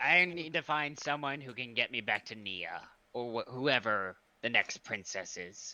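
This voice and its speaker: Against a quiet background, a man at a medium pitch uses a put-on character voice at a moderate pace. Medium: actual play. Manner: bossy, indignant.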